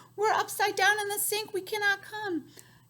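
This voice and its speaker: A squeaky, put-on character voice delivers the lines at a moderate pace. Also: woman, extremely high pitch for a woman. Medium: read story.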